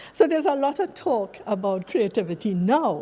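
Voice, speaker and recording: A woman speaks with a Trinidadian accent. Her pace is fairly slow. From Trinidad and Tobago. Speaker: academic researcher. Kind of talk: conference presentation.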